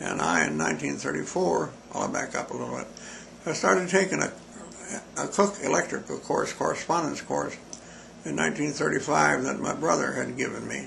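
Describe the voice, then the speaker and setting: An American-accented man at a fairly quick pace, amid noticeable background noise and audible room echo. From Montana, US. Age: 90s. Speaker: interviewee recalling his life. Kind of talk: oral history interview. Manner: halting.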